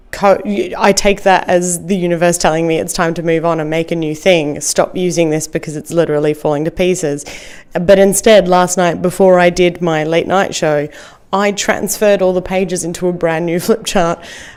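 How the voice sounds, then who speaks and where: This woman has a fairly low voice and an Australian accent. She speaks at a moderate pace with monotone, flat intonation. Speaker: comedian. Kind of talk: podcast interview answer. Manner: casual, hesitant.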